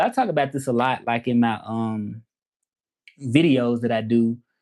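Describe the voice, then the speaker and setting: Against a quiet background, a man with a Southern accent speaks at a moderate pace with medium pitch and fairly even intonation. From US South, Memphis, Tennessee. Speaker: language teacher and Spanish interpreter. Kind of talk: casual livestream chat. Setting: livestream. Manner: casual, halting with fillers.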